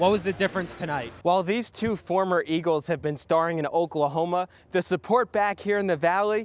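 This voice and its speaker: With an American accent, a man speaks in a high pitch with ordinary variation, the sound dry and close with no echo. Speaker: sports reporter and news anchor. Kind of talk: broadcast sports news reporting.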